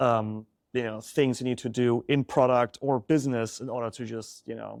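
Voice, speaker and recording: A man with a German accent at medium pitch and a moderate pace, flat and monotone with big swings in loudness, in a dry, close sound with no echo on a very clean recording with a silent background. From Germany. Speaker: startup founder. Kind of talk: interview.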